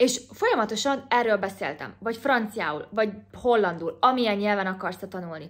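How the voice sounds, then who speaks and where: Over a quiet background, a woman with a fairly high pitch speaks at a moderate pace with ordinary pitch variation, in an ordinary speaking voice. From Hungary. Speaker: YouTuber. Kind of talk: vlog-style advice talk. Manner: casual, chatty. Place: home room. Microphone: phone near.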